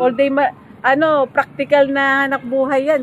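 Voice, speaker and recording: Over noticeable background noise, a woman speaks at a moderate pace in a high pitch. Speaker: interviewer. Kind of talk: casual interview questions.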